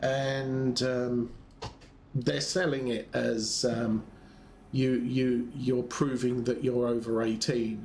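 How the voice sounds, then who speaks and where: Somewhat breathy, a man with a British accent speaks at medium pitch with ordinary pitch variation, and audible room echo is present. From UK. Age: 60s. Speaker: gaming streamer. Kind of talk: casual chat. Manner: halting, many fillers.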